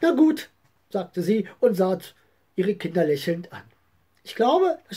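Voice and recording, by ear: Someone reads aloud in a natural voice here.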